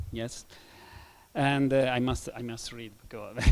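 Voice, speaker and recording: A man with an Italian accent, monotone and flat in intonation, at a fairly slow pace. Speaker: city official. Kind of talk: panel discussion. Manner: halting.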